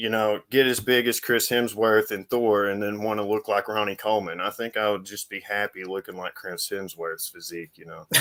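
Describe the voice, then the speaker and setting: With an American accent and an unremarkable speaking voice, a man talks at a fairly quick pace with hardly any pauses. His pitch is fairly low and his intonation fairly even, while his loudness swings widely. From United States. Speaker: fitness channel host. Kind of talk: casual interview chat.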